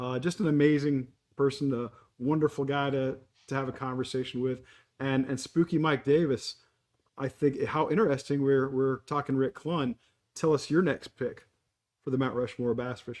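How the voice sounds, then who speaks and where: A man's plain, everyday voice, fairly high in pitch, with fairly even intonation and a moderate pace. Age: 60s. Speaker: podcast host. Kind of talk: casual chat.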